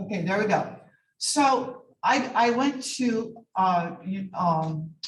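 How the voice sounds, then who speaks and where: A woman with a fairly high pitch and a somewhat breathy voice speaks at a very slow pace with lively intonation. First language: not English. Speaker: medical laboratory scientist and lecturer. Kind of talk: lecture.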